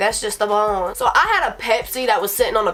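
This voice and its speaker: Music sounds in the background. A woman's voice sits at a fairly high pitch. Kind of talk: casual storytime talk to camera. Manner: rambling, profane.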